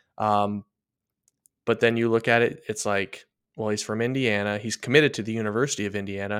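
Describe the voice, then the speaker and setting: Heard on a very clean recording with a silent background, a man speaks in a plain, everyday voice, fairly low in pitch, at a fairly quick pace with fairly even intonation. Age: 30s. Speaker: baseball prospect analyst. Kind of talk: casual chat.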